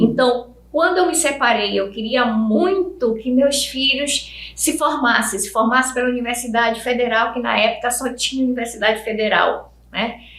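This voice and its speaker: A woman's high-pitched voice with ordinary pitch variation at a moderate pace, amid noticeable background noise and audible room echo. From Brazil, Amazonas (Parintins), schooled in Fortaleza. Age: 60s. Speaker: educator. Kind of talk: interview.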